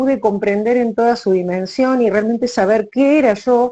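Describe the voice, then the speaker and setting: A woman's fairly high voice at a moderate pace. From Argentina. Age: 60s. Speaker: writer, retired teacher. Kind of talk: casual interview chat.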